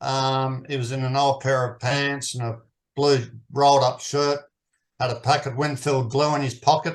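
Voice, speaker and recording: With an Australian accent, a man speaks at a fairly slow pace. His voice is fairly high-pitched, with monotone, flat intonation. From Australia, New South Wales. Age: 60s. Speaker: permaculture teacher. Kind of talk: interview.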